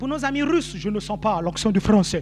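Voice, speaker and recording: The speaker has a Gabonese accent, an animated tone and lively intonation at a moderate pace. Audible room echo and noticeable background noise fill the recording. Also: man. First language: Nzebi (speaking French). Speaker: pastor. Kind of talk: sermon.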